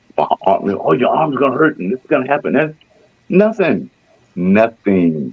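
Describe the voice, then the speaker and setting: Very wide pitch swings from a man talking at a fairly slow pace. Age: 60s. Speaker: radio host. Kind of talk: radio interview.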